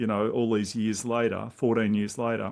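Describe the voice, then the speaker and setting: A man is talking at a moderate speed. Nothing can be heard behind him. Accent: Australian. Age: 60s. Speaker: intuitive coach. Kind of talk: podcast interview.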